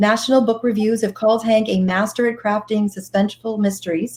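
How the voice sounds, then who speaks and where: A woman speaks with a Boston accent. Her voice sits at medium pitch and is somewhat breathy. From Boston area. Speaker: bookstore host. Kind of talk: author interview.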